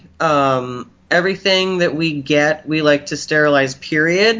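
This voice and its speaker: Here is a man with an ordinary speaking voice. His pitch is fairly high and varies in an ordinary way. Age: 30s. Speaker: body piercer. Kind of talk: casual chat.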